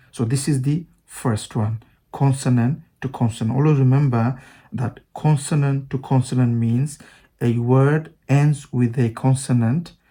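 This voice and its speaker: This man has a medium-pitched, dark and mellow voice that is somewhat breathy, with a non-native accent, a fairly slow pace and fairly even intonation. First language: not English. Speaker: English teacher. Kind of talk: online language lesson.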